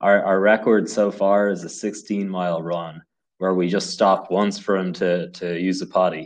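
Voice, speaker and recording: A man with a Dublin accent, very deep and low in pitch, monotone with flat intonation, at a moderate pace against a quiet background. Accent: Dublin Irish. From Ireland, Dublin. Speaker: engineer and amateur runner. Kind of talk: casual interview.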